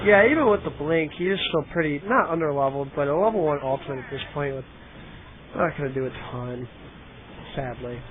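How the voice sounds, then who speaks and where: Against noticeable background noise, a man with a fairly high voice and an animated tone talks at a fairly quick pace, broken by long, frequent pauses. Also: ordinary pitch variation. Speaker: game commentator. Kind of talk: live commentary. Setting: livestream, headset. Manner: loud; casual, animated.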